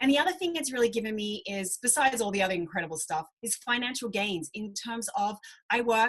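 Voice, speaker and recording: Speaking at a fairly quick pace in an Australian accent, a woman with a fairly high pitch has an animated tone and lively intonation. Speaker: fitness coach. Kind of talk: online group presentation.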